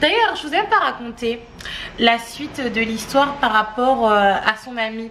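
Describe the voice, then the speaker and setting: A woman speaks at a fairly slow pace, her pitch fairly high. There is noticeable background noise. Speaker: family vlogger. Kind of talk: casual chat to camera. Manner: animated.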